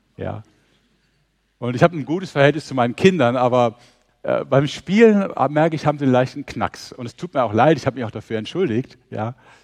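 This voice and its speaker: This man has an unremarkable speaking voice, a medium pitch and a fairly quick pace, with big swings in loudness and a dry, close sound with no echo. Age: 60s. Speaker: mission organisation leader, preacher. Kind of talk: sermon.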